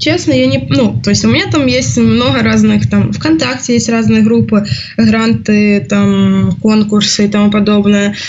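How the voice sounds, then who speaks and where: A woman talks fairly slowly at a very deep, low pitch, with very wide pitch swings and very even loudness. The room echo is audible, and there is noticeable background noise. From Ukraine. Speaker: student. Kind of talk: casual chat.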